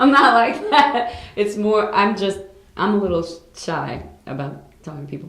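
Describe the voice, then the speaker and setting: A woman with an American accent and a medium pitch, very wide pitch swings, audible room echo and noticeable background noise. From New York City. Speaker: singer. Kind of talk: interview.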